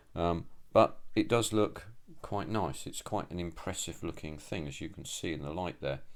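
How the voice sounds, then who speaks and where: Speaking at a moderate pace, a man with a very deep, low pitch shows big swings in loudness. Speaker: scale model builder. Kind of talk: tutorial. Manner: monotone; halting, many fillers.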